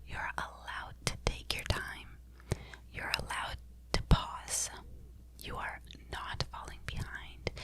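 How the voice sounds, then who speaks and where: A woman whispers in a soothing tone. Noticeable background noise is present. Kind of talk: ASMR sleep talk. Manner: whispered, soft, slow, soothing.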